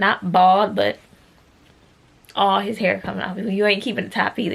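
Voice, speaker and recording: This is a woman speaking. Her pitch is medium. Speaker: vlogger and small business owner. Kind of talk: casual vlog.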